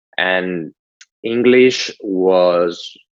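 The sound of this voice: A man speaks with a low pitch and a slightly mellow tone.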